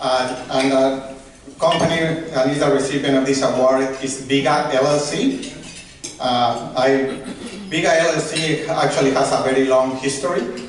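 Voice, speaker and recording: A man with a Mexican accent talks at a moderate pace in a fairly high, monotone voice with very even loudness, over noticeable background noise and audible room echo. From Mexico. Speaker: award presenter, business professional. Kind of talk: award presentation speech.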